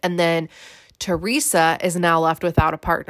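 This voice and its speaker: A woman talks at a moderate pace with a fairly low pitch. The recording is very clean, with a silent background and a dry, close sound free of echo. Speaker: reality TV recap podcaster. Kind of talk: casual recap monologue. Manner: excitable, enthusiastic.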